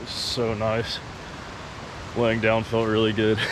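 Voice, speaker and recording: Audible room echo and noticeable background noise around a man speaking at a moderate pace. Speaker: hiking vlogger. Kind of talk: outdoor vlog narration. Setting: outdoors at a backcountry campsite.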